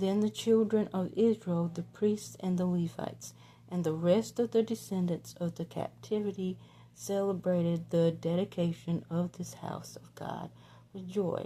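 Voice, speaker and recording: A woman with a Southern US accent speaks at a fairly slow pace, her loudness swinging widely. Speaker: devotional Bible reader. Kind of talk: reading aloud. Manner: halting.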